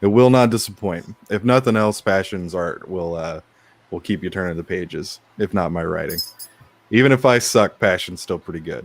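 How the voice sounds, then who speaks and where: Very deep and low, a man's voice carries ordinary pitch variation. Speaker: comic book writer. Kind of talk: casual chat. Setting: live stream.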